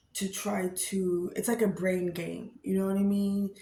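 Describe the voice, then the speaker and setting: Her voice sits at a medium pitch and has a somewhat breathy quality. This woman talks at a moderate pace. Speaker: vlogger and storyteller. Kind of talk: casual vlog talk. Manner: halting, stumbling over words.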